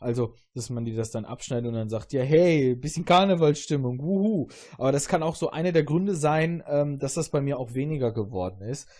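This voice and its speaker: Somewhat breathy and dark, mellow in tone, a man's fairly high voice moves with lively intonation. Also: fairly quick pace. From southern Germany, Augsburg area. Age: 30s. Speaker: podcast host. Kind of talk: casual chat.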